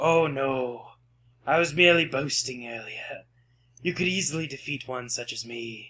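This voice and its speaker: Using a put-on character voice, a man pitches himself fairly high. His pace stays moderate. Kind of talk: ominous polite menace. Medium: actual play. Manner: calm, polite, quietly creepy.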